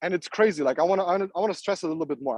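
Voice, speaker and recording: A man with a non-native accent talks at a very fast pace in a high pitch with ordinary pitch variation. His tone is dark and mellow, and the sound is dry and close with no echo. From Namibia, then Europe. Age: 20s. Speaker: entrepreneur and trader. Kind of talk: motivational talk. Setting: live online call. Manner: halting, repeats words; animated.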